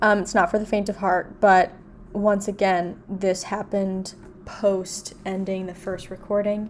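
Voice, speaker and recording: Noticeable background noise behind a woman at a medium pitch, fairly slow, in a flat monotone. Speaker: podcast co-host. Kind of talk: casual chat. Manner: theatrical, puts on voices.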